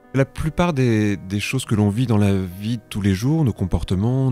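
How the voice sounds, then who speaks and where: Music plays in the background. A man with fairly low pitch speaks with lively intonation. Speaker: hypnosis practitioner and trainer. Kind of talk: interview answer.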